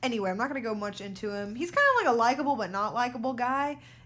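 Audible room echo follows a woman as she talks at a very fast pace. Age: 20s. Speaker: podcast co-host. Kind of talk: casual chat.

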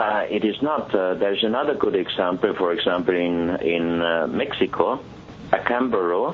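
Despite noticeable background noise, a man's fairly low voice comes through at a moderate pace with very even loudness. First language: German. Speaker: exhibition organizer and artifact collector. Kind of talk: interview. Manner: halting, with frequent fillers.

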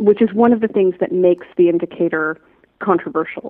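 Her delivery has lively intonation, and this woman has an unremarkable speaking voice at a medium pitch. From Canada, Toronto. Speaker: strategy consultant and coach. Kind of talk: interview conversation.

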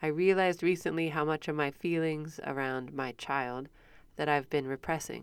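A woman's very deep, low voice in a Midwestern American accent, fairly even in intonation, at a moderate pace, in a very clean recording with a silent background. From US Midwest. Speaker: podcast host. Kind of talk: casual interview chat.

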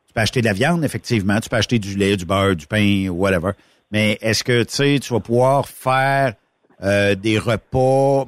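In a plain, everyday voice, a man speaks at a moderate pace with ordinary pitch variation, the sound dry and close with no echo. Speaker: radio host. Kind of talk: casual chat.

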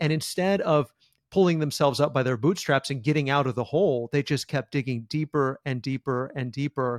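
In a very clean, dry, close recording with no echo and a silent background, a man talks at a fairly quick pace in a plain, everyday voice, fairly high in pitch with ordinary variation. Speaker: podcast host. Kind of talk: interview conversation.

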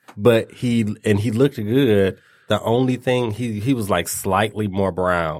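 In an ordinary speaking voice, a man talks at a fairly slow pace with fairly low pitch, on a very clean recording with a silent background. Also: ordinary pitch variation. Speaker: podcast host. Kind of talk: casual chat, raunchy banter.

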